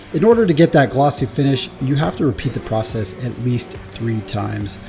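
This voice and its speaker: With noticeable background noise behind him, a man of medium pitch talks at a moderate pace with lively intonation. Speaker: woodworking video maker. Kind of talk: scripted narration.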